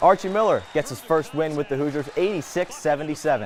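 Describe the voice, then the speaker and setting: A man speaks at a fairly quick pace with a fairly high pitch. Noticeable background noise runs behind him. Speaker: sports broadcaster. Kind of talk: sports news anchor highlights read. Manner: energetic.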